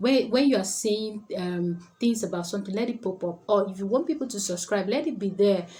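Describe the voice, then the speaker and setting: Through noticeable background noise, a woman at medium pitch talks with hardly any pauses. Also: ordinary pitch variation, fairly quick pace. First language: not English. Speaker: public speaking coach. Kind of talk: tutorial.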